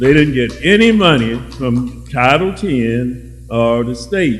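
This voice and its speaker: Audible room echo surrounds a man's voice. Music plays in the background. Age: 70s. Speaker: audience member, retired public health worker. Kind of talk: audience comment in a public discussion.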